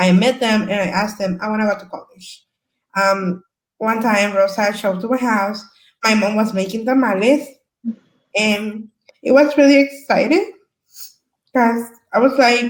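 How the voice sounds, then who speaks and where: A woman with a Salvadoran accent speaks at a moderate pace and fairly high pitch, with ordinary pitch variation and long, frequent pauses. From El Salvador. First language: Spanish. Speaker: community service worker, former asylee. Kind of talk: panel discussion.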